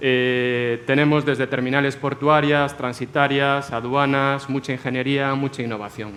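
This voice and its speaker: Over music in the background, a man with an Andalusian accent speaks at a fairly high pitch and a fairly slow pace. His intonation is monotone and flat, with hardly any pauses. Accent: Andalusian (Almería). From Almería, southern Spain. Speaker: logistics company director, panelist. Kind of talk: panel discussion.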